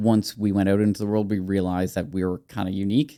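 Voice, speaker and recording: A fairly low-pitched man at a fairly quick pace, dark and mellow in tone, with fairly even intonation. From Nova Scotia, Canada. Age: 40s. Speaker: community founder and podcaster. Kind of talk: podcast interview. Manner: talkative.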